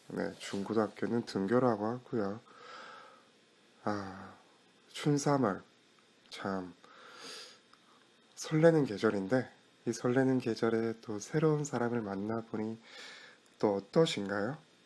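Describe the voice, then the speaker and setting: A man with a calm tone, speaking at a very slow pace with long, frequent pauses. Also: medium pitch for a man, ordinary pitch variation. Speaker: internet radio DJ. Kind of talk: radio-style talk show. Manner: calm, friendly.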